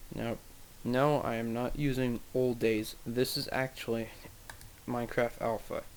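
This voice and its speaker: A man speaks quietly at medium pitch in a flat monotone. Long, frequent pauses break up his words. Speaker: gaming video creator. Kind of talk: gameplay commentary.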